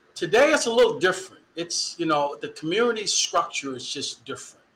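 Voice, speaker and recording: Over noticeable background noise, a man with an American accent speaks at a fairly quick pace in an animated tone, his intonation lively. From Dallas, Texas. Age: 50s. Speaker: university equity director and former football official. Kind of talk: interview.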